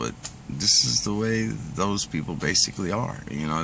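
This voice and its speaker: A man does the talking. Behind him, noticeable background noise can be heard. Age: 60s. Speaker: pipe smoking vlogger. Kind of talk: casual monologue rant. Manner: conversational, filler-heavy.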